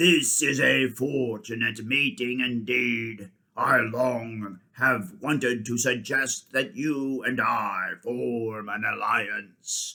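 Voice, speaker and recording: In a put-on character voice, a man speaks raspily at a medium pitch and a very slow pace with hardly any pauses. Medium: read story. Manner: roaring, regal.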